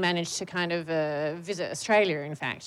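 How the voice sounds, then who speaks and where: Her unremarkable speaking voice moves at a fairly quick pace, the woman keeping a fairly even intonation. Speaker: academic. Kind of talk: public panel conversation. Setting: stage with audience.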